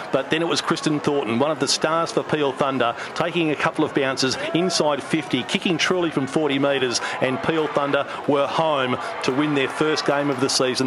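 A man with an Australian accent talks at a moderate pace in a fairly high pitch, his pitch varying in an ordinary way over noticeable background noise. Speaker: sports commentator. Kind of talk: sports commentary, voiceover narration of match highlights. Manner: animated, fluent, emphatic with repeated 'very, very'.

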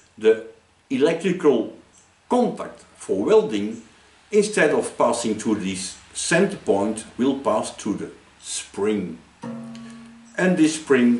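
A man's very slow speech with audible room echo and music in the background. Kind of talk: tutorial. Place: workshop. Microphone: camera far.

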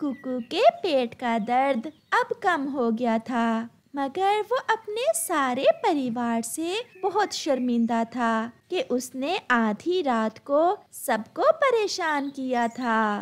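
The speaker talks slowly with few pauses. The pitch swings widely up and down. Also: woman, high pitch for a woman.

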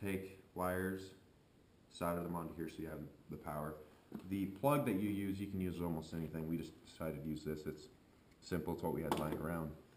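A man's very deep, low voice with fairly even intonation, over light background noise and audible room echo. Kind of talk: tutorial. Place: garage.

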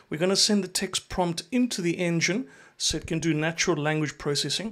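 Delivered at a fairly quick pace, the voice carries a fairly bright tone. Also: man, fairly high pitch for a man, ordinary pitch variation.

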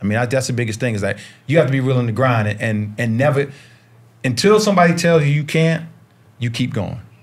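Talking very fast with long, frequent pauses, a man with an American accent uses lively intonation in a somewhat breathy, medium-pitched voice. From US South, Charlotte, North Carolina. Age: 50s. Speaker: basketball coach and former pro player. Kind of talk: casual chat. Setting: studio.

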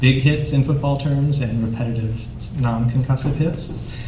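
Over noticeable background noise and audible room echo, a man with an American accent speaks at a moderate pace in a monotone, flat intonation. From Wisconsin, Green Bay. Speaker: professor and moderator. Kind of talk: moderated panel.

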